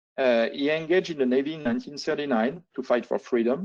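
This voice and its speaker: Someone with a French accent speaks at a fairly quick pace. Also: man. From France. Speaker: air force officer. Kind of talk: lecture. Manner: halting, many fillers.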